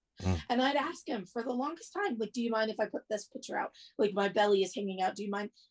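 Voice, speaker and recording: A somewhat breathy woman's voice at a very fast pace, with ordinary pitch variation. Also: fairly high pitch for a woman. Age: 40s. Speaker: interviewee and plus-size content creator. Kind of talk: casual interview chat. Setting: video call.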